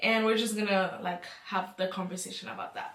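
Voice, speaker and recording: A woman is speaking. She has a non-native accent. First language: not English. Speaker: youtuber. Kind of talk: casual chat.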